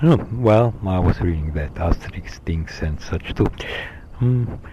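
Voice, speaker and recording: Over noticeable background noise, a man speaks at a very deep, low pitch. He goes at a fairly slow pace with lively intonation. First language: Slovenian. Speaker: vlogger. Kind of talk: solo monologue recording. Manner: halting, many fillers.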